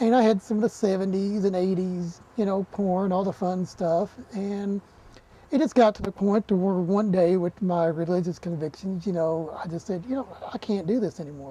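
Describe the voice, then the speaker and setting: The speech comes at a moderate pace with an Appalachian accent. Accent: Appalachian Southern US. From Eastern Kentucky, Appalachia. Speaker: television horror host. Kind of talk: documentary interview.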